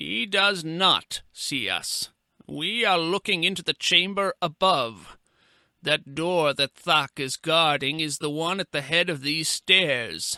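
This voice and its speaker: A man's put-on character voice, fairly high-pitched and at a fairly slow pace, in a very clean recording with a silent background. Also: dry, close sound with no echo. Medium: read story. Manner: measured, formal.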